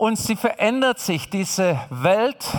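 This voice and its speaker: The man has a high pitch. His pace is fairly slow. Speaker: preacher. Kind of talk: sermon. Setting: church. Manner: emphatic; repetitive, direct address.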